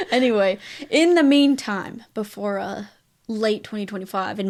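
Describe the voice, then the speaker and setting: Her medium-pitched voice moves at a moderate pace with ordinary pitch variation as this woman speaks in a very clean recording with a silent background. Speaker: movie podcast co-host. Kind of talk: casual chat.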